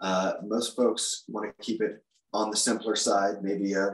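An American-accented man with fairly low pitch, monotone, flat intonation, and a fairly slow pace. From US Mid-Atlantic (Maryland, DC suburbs). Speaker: guitar shop employee. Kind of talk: interview.

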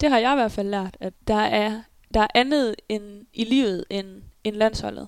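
A fairly slow, fairly even woman's voice, fairly high in pitch, a normal speaking voice on a very clean recording with a silent background. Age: 20s. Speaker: handball player. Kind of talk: interview. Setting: at home in apartment.

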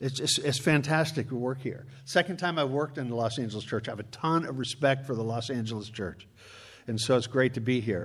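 Speaking at a fairly quick pace with ordinary pitch variation, a man with an American accent is heard over audible room echo. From Chicago. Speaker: preacher and church conflict consultant. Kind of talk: sermon.

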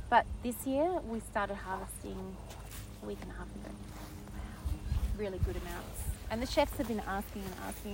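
A woman's loudness swings widely as she talks at a moderate pace. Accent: Australian. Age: 50s. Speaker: former chef turned market gardener. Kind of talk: casual chat. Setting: outdoors.

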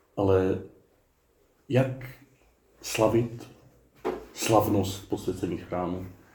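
A man's dark, mellow, somewhat breathy voice at a very slow pace, with long, frequent pauses and fairly even intonation. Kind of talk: sermon. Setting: outdoor garden chapel. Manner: warm, humorous.

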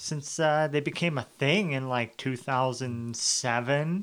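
A man talks, his pitch varying in an ordinary way. The recording is very clean, and the background silent. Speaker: podcast host. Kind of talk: comedic banter, skit-based casual chat.

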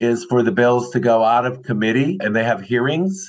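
Moderate pace from a man, a plain, everyday voice throughout. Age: 60s. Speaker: film industry association chair. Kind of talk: interview. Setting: remote recording.

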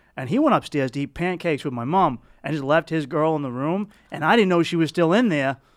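On a very clean recording with a silent background, a man with a Boston accent speaks at a very fast pace. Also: fairly high pitch for a man, ordinary pitch variation. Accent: thick Boston. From South Boston, Massachusetts. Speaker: comedian. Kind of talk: casual chat.

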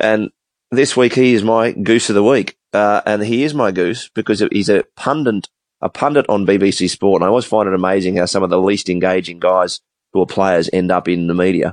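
A man with an Australian accent talks at a moderate pace in a fairly low pitch with ordinary pitch variation. The sound is dry and close with no echo, his loudness stays very even, and the background is quiet. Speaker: sports podcast co-host. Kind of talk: casual chat. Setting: remote call.

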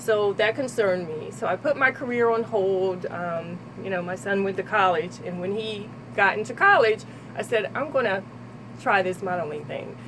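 A woman with a New Jersey accent talks at a moderate pace and medium pitch. Her pitch varies in an ordinary way over noticeable background noise. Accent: New Jersey American. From Trenton, New Jersey. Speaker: model and personal trainer. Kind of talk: radio interview. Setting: radio studio.

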